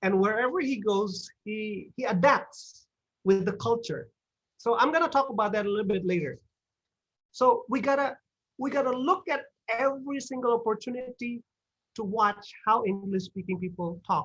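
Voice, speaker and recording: The speech moves at a moderate pace in an Indonesian accent. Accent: Sundanese-tinged English. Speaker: guest speaker at English club. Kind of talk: talk to online audience. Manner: animated, many fillers and repetitions.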